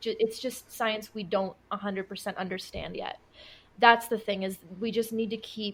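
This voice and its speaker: A somewhat breathy voice speaks at a moderate pace in a monotone, flat intonation. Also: woman. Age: 20s. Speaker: occult and witchcraft content creator. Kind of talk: podcast interview answer.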